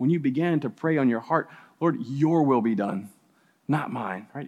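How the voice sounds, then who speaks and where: A man speaks with an unremarkable speaking voice and an American accent, his intonation lively against a quiet background. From US South (New Orleans). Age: 40s. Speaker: campus minister. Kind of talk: sermon. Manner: casual.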